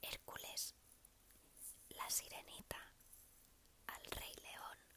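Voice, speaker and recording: There is whispering at a very slow pace. Noticeable background noise can be heard. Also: woman. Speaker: ASMR content creator. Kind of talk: casual talk to camera, ASMR Q&A. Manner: whispered.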